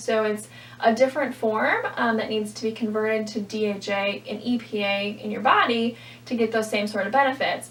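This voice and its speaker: There's noticeable background noise as a woman talks at a moderate pace. Her fairly high voice stays monotone and flat. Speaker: registered dietitian. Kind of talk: product review vlog.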